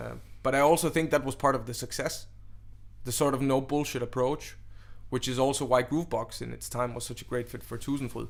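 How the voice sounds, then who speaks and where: With big swings in loudness, a man speaks at a fairly quick pace. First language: Danish. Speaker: DJ and event organizer. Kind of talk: interview.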